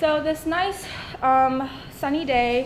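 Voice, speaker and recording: A woman's voice with ordinary pitch variation, amid audible room echo and noticeable background noise. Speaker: university student. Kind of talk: class presentation.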